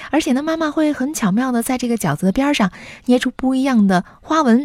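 At a fairly quick pace, a woman with lively intonation uses an unremarkable speaking voice. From Weifang, Shandong, China. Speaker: podcast anchor. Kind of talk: scripted narration.

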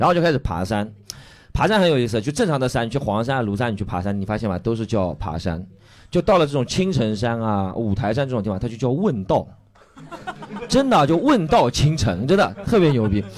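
There is noticeable background noise as a man talks at a fairly quick pace. His pitch swings very widely. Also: medium pitch for a man. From Shanghai, China. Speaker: stand-up comedian. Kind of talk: casual chat; stand-up.

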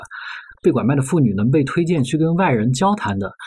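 In a very clean recording with a silent background, a man speaks at a fairly quick pace, somewhat breathy and with lively intonation. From Sichuan. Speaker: magazine journalist. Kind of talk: podcast interview conversation.

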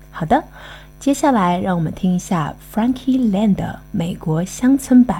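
Here a woman talks at a fairly slow pace with lively intonation. It is a plain, everyday voice. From Shanghai. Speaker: podcast guest presenter. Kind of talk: scripted narration.

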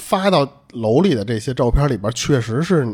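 A somewhat breathy man's voice at a moderate pace, with very wide pitch swings. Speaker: podcast host. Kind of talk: casual chat, storytelling. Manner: casual, colloquial, Northern Mandarin speech.

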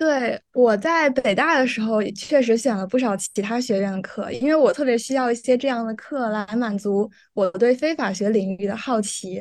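This woman has a plain, everyday voice with a fairly high pitch and ordinary pitch variation. She keeps a moderate pace with hardly any pauses. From mainland China, not Guangdong. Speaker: law student. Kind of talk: casual interview.

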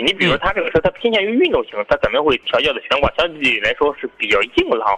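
Over noticeable background noise, the words rush out at a very fast pace. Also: man. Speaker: car sales expert guest. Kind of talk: live radio call-in chat. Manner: easygoing, joking.

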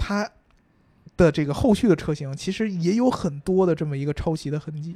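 This man's voice sits at a high pitch with a dark, mellow tone. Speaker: car podcast co-host. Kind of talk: casual chat about cars. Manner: casual, joking banter.

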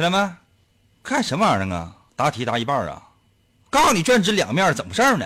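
Very fast speech broken by long, frequent pauses. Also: man. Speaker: radio host. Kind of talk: casual chat. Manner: animated.

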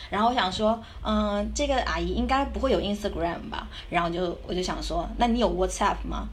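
The speech moves at a moderate pace. Room echo is audible, along with noticeable background noise. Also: woman. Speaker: backpacker and student abroad. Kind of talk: casual interview chat.

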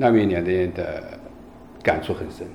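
A man talks at a fairly slow pace, his voice carrying audible room echo above noticeable background noise. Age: 50s. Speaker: city law enforcement squad leader. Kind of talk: interview.

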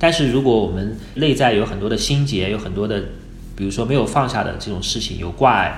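A medium-pitched man speaks fairly quickly with ordinary pitch variation. Noticeable background noise and audible room echo fill the recording. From China, Wuhu, Anhui. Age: 30s. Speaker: freelance photographer. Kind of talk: casual interview.

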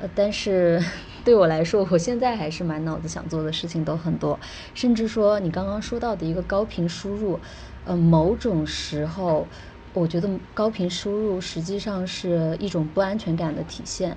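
Ordinary pitch variation at a moderate pace, amid audible room echo. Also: woman, fairly low pitch for a woman. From China. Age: 20s. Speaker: travel blogger and e-commerce entrepreneur. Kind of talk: casual interview.

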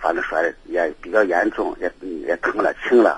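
Recorded with a dry, close sound and no echo, a man speaks against noticeable background noise. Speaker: caller. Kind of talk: call-in consultation.

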